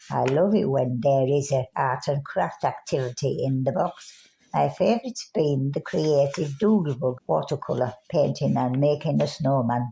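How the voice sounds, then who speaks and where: Speaking with hardly any pauses at a moderate pace, a woman uses a very deep, low pitch, a dark, mellow tone, vocal fry, lively intonation and very even loudness. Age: 90s. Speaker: care home resident. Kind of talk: testimony.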